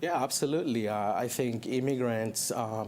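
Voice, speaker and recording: A man talks with a Spanish accent. His pitch is medium and his pace moderate. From Chile. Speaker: college program director. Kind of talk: TV interview.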